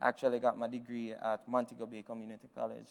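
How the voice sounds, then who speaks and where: With a Jamaican accent, a man speaks at a fairly quick pace in a medium pitch. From Jamaica, Westmoreland parish. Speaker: business founder, keynote speaker. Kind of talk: keynote speech. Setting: virtual event stream. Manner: hesitant, many fillers.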